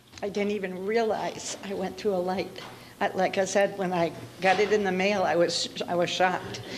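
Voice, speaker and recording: A woman with an American accent speaks at a medium pitch and moderate pace in monotone, flat intonation. Audible room echo and noticeable background noise are present. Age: 70s. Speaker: defendant in traffic court. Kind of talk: courtroom testimony. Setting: courtroom. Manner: halting.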